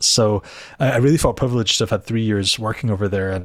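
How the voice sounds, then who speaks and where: A man's medium-pitched voice with a Scottish Highland accent, fairly quick in pace, with ordinary pitch variation, on a very clean recording with a silent background. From Scotland, Inverness. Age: 40s. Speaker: theology lecturer. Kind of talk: interview. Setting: office.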